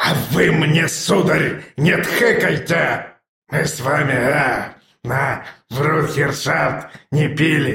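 Putting on a character voice, a man talks slowly with a fairly high pitch, a fairly bright tone, and a wheezy, hoarse sound full of vocal fry. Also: ordinary pitch variation.

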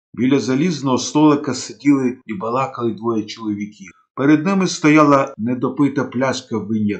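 The speaker reads aloud plainly. Pitch shifts by a normal amount.

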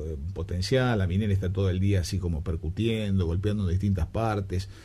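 A man speaks with a low pitch and a dark, mellow tone. His pitch varies in an ordinary way.

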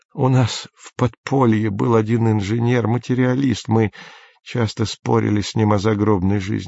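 Over a quiet background comes an unforced reading voice with fairly even intonation.

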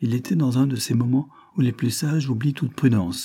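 The pace is fairly slow, and pitch varies in an ordinary way. This is a natural reading voice.

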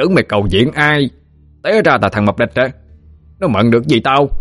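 A man cackles in a put-on character voice that is shrill, medium in pitch, lively in intonation and very fast. His loudness stays very even, and the sound is dry and close with no echo. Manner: mocking, cackling.

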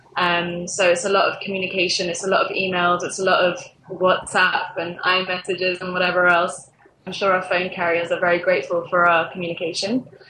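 Noticeable background noise accompanies a woman talking at a fairly quick pace with monotone, flat intonation. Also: medium pitch for a woman. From England. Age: 20s. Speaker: social media manager at a games startup. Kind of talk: interview.

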